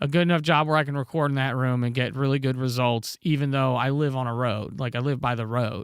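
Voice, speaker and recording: A man with an American accent and a normal speaking voice talks at a moderate pace in a medium pitch, his intonation fairly even, on a very clean recording with a silent background. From North Carolina. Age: 30s. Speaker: music producer and audio engineer. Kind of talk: casual livestream chat. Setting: home studio livestream. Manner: casual, conversational.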